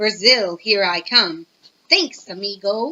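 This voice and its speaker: A woman puts on a hissing character voice at a medium pitch. She speaks at a fairly slow pace. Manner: casual, friendly, speaking like a pal.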